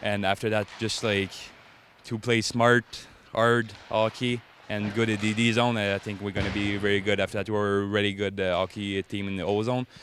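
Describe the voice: A man with a fairly low pitch speaks at a moderate pace with little pitch movement, his tone clear, smooth and fairly bright.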